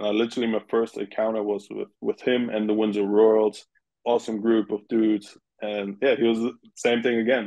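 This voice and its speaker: In a German accent, a man speaks at medium pitch and a fairly quick pace. His intonation is monotone and flat. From Germany. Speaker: former pro baseball player. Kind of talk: interview. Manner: casual, halting at times.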